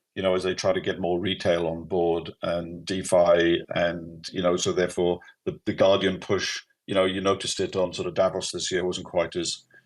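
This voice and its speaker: In a Welsh accent, a man speaks at a moderate pace with a very deep, low pitch and monotone, flat intonation. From Wales. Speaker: company CEO. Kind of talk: live audio AMA.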